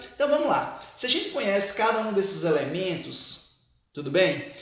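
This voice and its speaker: Amid audible room echo, a man speaks at a moderate pace, his high pitch making very wide swings. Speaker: teacher. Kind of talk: lecture.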